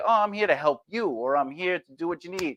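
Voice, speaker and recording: Animated and with an American accent, a man at a fairly high pitch talks at a moderate pace with very wide pitch swings, in a dry, close sound with no echo and a very clean recording with a silent background. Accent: New York accent, noted by casting directors. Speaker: actor and self-help video host. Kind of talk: motivational talk. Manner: animated, self-interrupting.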